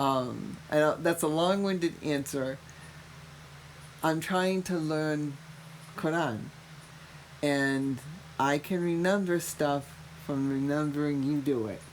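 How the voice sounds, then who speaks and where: With a Massachusetts accent, the speaker goes at a very slow pace with long, frequent pauses and ordinary pitch variation. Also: woman, very deep, low pitch for a woman. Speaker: mother of the podcast host, cancer patient. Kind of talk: casual chat. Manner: animated.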